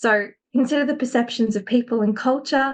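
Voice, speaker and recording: In an Australian accent, a woman talks at a fairly quick pace. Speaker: academic and education consultant. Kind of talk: webinar presentation.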